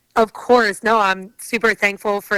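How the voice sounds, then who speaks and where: A woman's bright, sharp voice with a strong New Jersey accent, medium in pitch, at a moderate pace with fairly even intonation, in a dry, close sound with no echo. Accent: heavy New Jersey. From northern New Jersey. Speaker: athlete and entrepreneur. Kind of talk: podcast interview.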